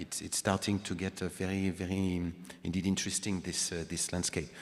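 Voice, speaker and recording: In a French accent, a man with a very deep, low voice talks at a fairly quick pace in a flat monotone. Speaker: panel moderator. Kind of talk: panel discussion.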